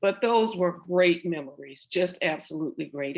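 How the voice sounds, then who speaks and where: A woman with a Southern US accent speaks at a fairly slow pace, her fairly low pitch moving with ordinary variation. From US South, central Florida (Oviedo). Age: 70s. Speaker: interviewee, professional singer. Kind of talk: oral history interview. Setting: video call.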